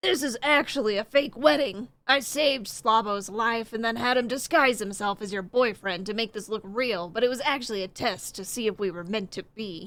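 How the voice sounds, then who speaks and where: A woman's put-on character voice, fairly high in pitch, with ordinary pitch variation and a moderate pace. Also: hardly any pauses. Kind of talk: comic melodrama. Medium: read story. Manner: earnest, dramatic.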